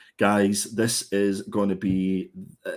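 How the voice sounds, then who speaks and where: A man speaks with a Scottish accent at a fairly low pitch. The recording is very clean, with a silent background. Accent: Scottish, gritty. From Scotland. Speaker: comic book reviewer. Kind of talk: casual chat. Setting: live stream.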